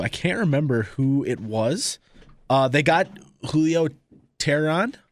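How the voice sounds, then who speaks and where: Lively intonation marks a man's fairly high-pitched voice in a very clean recording with a silent background. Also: very even loudness. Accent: American. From San Diego, California. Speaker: radio producer co-hosting a sports podcast. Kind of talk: casual sports chat. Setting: studio.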